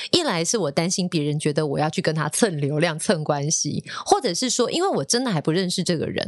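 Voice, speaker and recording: A woman talks at a fairly quick pace in an ordinary speaking voice. Her pitch varies in an ordinary way. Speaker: radio DJ and podcast host. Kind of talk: casual chat.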